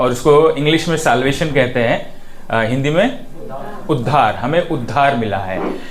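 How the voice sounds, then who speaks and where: A man's voice with audible room echo. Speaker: preacher. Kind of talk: sermon. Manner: slow; halting.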